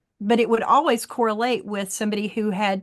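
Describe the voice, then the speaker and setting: A woman speaks in a normal speaking voice at a fairly high pitch. Her intonation stays fairly even. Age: 60s. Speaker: wellness practitioner. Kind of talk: online class demonstration. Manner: casual.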